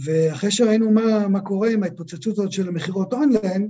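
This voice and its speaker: Pitched high with ordinary pitch variation, a man talks at a fairly quick pace. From Israel, Holon. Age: 50s. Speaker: product designer and business owner. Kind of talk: interview.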